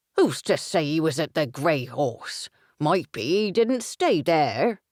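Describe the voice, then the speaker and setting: This put-on character voice sits at middle pitch and moves at a fairly slow pace. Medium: read story. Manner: teasing, blunt.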